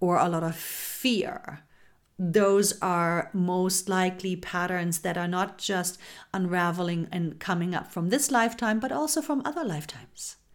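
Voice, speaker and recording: Her pitch moving in an ordinary way, a woman talks at a medium pitch in a plain, everyday voice. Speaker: spiritual podcast host. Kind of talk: guided meditation. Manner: slow, soothing, calm; gentle, intimate, affectionate.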